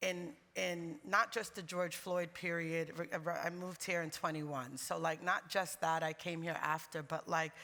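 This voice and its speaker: A woman speaks at a moderate pace in a bright, sharp tone with fairly low pitch. The recording is very clean, the background silent. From US, New York. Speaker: music label managing director. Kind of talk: panel discussion. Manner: animated.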